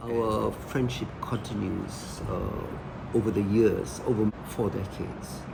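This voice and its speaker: Clear background noise is present. A man talks very slowly. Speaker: dance company director. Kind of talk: interview answer. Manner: hesitant, many fillers.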